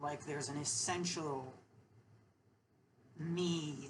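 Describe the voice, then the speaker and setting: In a room with audible echo, a woman speaks at a very slow pace with a very deep, low pitch. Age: 30s. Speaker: vlogger. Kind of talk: personal monologue. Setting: alone at home. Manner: halting, many fillers and repeats.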